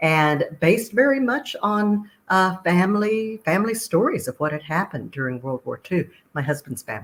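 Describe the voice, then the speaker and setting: A woman with a slight Texas accent speaks at a moderate pace and medium pitch, with very wide pitch swings. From Texas, Austin. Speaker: author. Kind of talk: interview.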